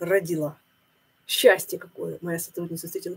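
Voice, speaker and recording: A woman's somewhat breathy voice, fairly low in pitch, dark and mellow in tone. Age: 50s. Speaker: religious video blogger. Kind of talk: monologue sermon-like video blog. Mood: thoughtful, upset. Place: home room. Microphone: webcam.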